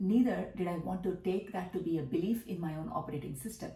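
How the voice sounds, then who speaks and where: A woman with a Tamil accent speaks at a fairly quick pace and medium pitch with ordinary pitch variation, amid noticeable background noise and audible room echo. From South India, Tamil Nadu. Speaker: business coach. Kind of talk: monologue vlog.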